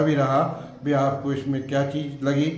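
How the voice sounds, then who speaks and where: Noticeable background noise and audible room echo around a man with a fairly high pitch. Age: 70s. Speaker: religious storyteller. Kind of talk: interview. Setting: temple. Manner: halting.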